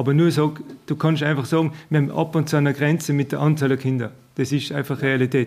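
A man talks in a normal speaking voice, fairly high, at a moderate pace. His intonation is fairly even, on a very clean recording with a silent background. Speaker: village head. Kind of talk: interview.

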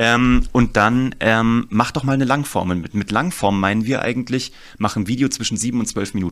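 On a very clean recording against a silent background, an ordinary speaking voice shows ordinary pitch variation and a moderate pace. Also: man, medium pitch for a man. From Germany, Kassel (northern Hesse). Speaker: storytelling and marketing consultant. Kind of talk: interview.

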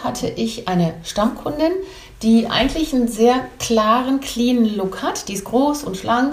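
A woman's high voice is heard with audible room echo. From Belgium / Germany. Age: 50s. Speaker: image consultant and stylist. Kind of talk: casual interview chat.

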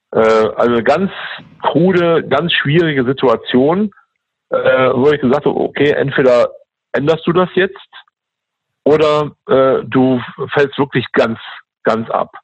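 Very slow and broken by long, frequent pauses, a man's speech holds a very even loudness throughout. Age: 50s. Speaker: interim manager and troubleshooter in building services engineering. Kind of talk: interview. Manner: hesitant, many filler sounds.

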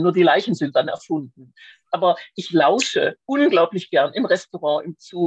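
In an unremarkable speaking voice, a woman talks at a moderate pace and a fairly low pitch with lively intonation, the sound dry and close with no echo. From Swabia, Schwäbisch Hall. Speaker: crime novelist. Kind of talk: casual interview.

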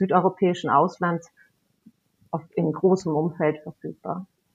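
A woman at medium pitch, speaking at a fairly slow pace. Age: 50s. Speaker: camping industry relations manager. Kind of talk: casual chat.

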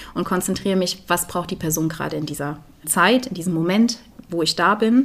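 Someone talks at a fairly quick pace in a normal speaking voice. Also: woman. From Germany, Eifel region. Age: 20s. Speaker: volunteer hospice companion and theologian. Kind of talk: interview. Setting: at her home.

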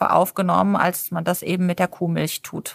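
A woman with an ordinary speaking voice talks at a moderate pace with fairly even intonation, in a very clean recording with a silent background and a dry, close sound with no echo. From Germany, partly raised on a farm. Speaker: nutrition and sports physician. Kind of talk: interview.

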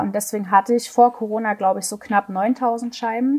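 Here a woman talks in a fairly high pitch. Her intonation is monotone and flat. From Saxony, eastern Germany. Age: 20s. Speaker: trap shooting athlete. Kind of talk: interview.

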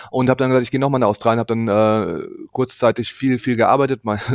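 Dry and close with no echo, a man's medium-pitched voice keeps a fairly even intonation. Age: 30s. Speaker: bereaved brother of a suicide victim. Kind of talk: interview testimony. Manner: halting, many fillers.

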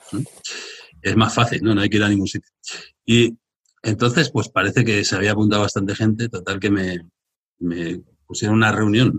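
A man talks at a fairly quick pace with long, frequent pauses. His pitch is fairly low and his intonation fairly even. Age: 50s. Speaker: entrepreneur. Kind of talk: live interview in front of audience. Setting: live event with young audience.

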